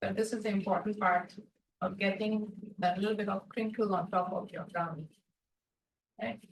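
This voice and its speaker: A soft-spoken, somewhat breathy woman talks at medium pitch and a moderate pace. Her intonation is fairly even, broken by long, frequent pauses. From India, Mumbai. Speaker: baking instructor. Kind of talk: tutorial.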